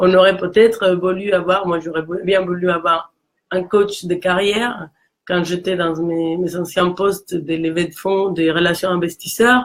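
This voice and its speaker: A woman speaks in a Mexican accent at a fairly slow pace. Her intonation is monotone and flat. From Mexico. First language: Spanish (speaking French). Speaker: career coach. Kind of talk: casual chat. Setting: live video stream.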